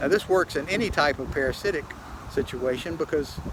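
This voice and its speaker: A man speaks with a fairly high pitch. Noticeable background noise runs through the recording. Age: 70s. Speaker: self-published aging researcher. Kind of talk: casual video monologue. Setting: walking at a doctor's office. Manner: halting, many fillers and repetitions.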